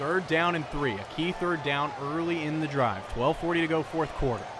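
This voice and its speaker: The speaker's intonation is fairly even and the pace moderate, with noticeable background noise present. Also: man, fairly high pitch for a man. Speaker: play-by-play football announcer. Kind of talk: live sports broadcast play-by-play.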